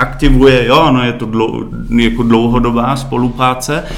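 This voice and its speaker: Medium-pitched male voice with a German accent at a moderate pace, with audible room echo and noticeable background noise. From Germany, Berlin. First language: German (speaking Czech). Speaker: marketing director. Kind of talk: interview.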